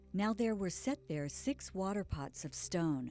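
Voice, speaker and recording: Music plays in the background as a woman talks at a moderate pace. Her pitch is fairly low and her intonation lively. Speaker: audiobook reader. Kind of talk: scripture audiobook reading.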